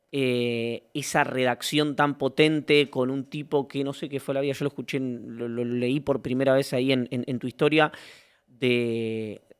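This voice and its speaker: Speaking with a Rioplatense accent, a man keeps a monotone, flat intonation at medium pitch and a fairly slow pace. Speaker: interviewer. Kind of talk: long-form interview.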